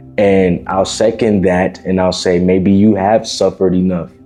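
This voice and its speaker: Over music in the background, a man with a very deep, low pitch speaks at a fairly slow pace, his loudness very even and his intonation monotone and flat. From Miami. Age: 20s. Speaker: self-improvement content creator. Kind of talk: casual motivational talk to camera. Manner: informal, conversational.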